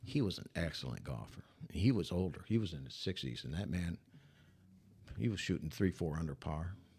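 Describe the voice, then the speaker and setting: A man with an American accent, a very deep, low pitch and vocal fry, with long, frequent pauses. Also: lively intonation, fairly quick pace. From Michigan. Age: 70s. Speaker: retired sportscaster. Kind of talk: casual chat.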